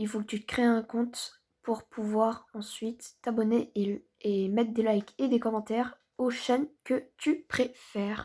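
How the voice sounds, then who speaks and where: Soft-spoken and very slow, with fairly even intonation and hardly any pauses, the voice sits on a very clean recording with a silent background. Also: woman, fairly high pitch for a woman. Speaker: gaming youtuber. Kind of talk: gameplay commentary.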